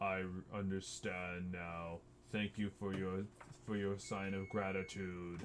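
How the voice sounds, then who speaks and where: A man uses a put-on character voice with a very deep, low pitch and a fairly slow pace. Clear background noise runs behind him. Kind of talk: epic fantasy creature voice. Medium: actual play. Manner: slow, formal, archaic.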